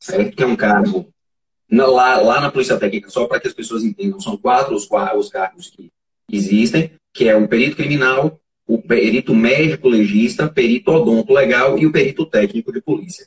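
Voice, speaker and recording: A somewhat breathy man's voice, medium in pitch, at a fairly quick pace with very wide pitch swings, in a dry, close sound with no echo. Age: 40s. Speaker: forensic expert. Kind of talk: interview. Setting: live stream.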